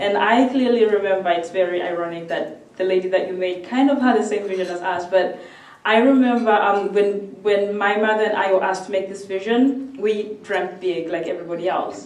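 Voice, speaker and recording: A woman with a medium-pitched voice talks at a fairly quick pace with hardly any pauses, against noticeable background noise and audible room echo. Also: ordinary pitch variation. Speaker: student and speaker. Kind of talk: speech. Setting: stage with audience. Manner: fast.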